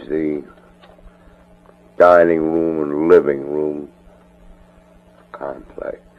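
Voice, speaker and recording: This man speaks at a very slow pace. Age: 60s. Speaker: family member recording a personal audio letter. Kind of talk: spoken audio letter. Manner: casual, hesitant with frequent fillers.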